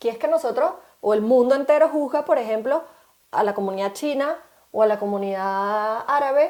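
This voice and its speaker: A woman speaks with a Venezuelan accent at a high pitch. The recording is very clean, with a silent background. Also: lively intonation, moderate pace. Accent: Venezuelan Spanish, kept. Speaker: podcast co-host. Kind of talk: casual chat.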